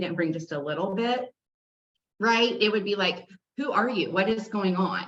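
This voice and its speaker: A woman talks loudly. Her pace is moderate. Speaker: fitness instructor. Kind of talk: casual chat.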